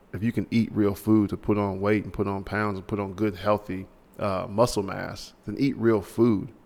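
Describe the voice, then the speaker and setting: A man's fairly low, monotone voice at a moderate pace, with flat intonation. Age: 30s. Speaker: podcast host. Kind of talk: casual chat.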